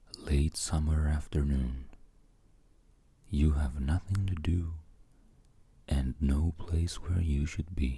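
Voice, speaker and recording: The voice is soft-spoken and very slow. Long, frequent pauses break up the speech. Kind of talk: ASMR bedtime story narration. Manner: soft-spoken, relaxing.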